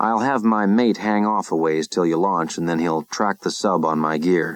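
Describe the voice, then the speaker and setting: A man's booming put-on character voice, very deep and low, at a moderate pace. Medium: read story.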